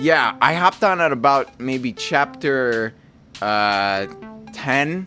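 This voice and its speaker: Over background music, a man with a fairly high pitch talks at a very slow pace with lively intonation. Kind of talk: casual talk about his own writing. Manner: casual, candid.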